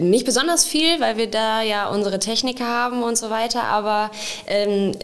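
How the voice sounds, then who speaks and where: Noticeable background noise sits behind a woman's fairly high voice. She keeps a moderate pace with ordinary pitch variation. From Sauerland, Germany (Wenden, Kreis Olpe). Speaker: municipal event organiser. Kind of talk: casual interview.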